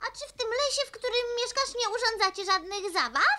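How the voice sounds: Quick-paced and cartoonish, this female-sounding character voice reaches an extremely high pitch for a woman.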